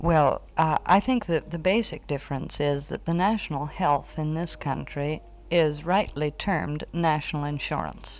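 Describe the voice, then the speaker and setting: With an American accent, a woman talks at a moderate pace using ordinary pitch variation. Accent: American, general. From United States. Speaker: American expatriate living in Wales. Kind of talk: interview.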